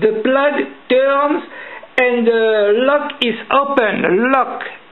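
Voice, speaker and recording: In a strong French accent, a woman with a high pitch and ordinary pitch variation speaks at a very slow pace amid noticeable background noise and audible room echo. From France. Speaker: lock-picking hobbyist. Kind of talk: tutorial. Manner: halting.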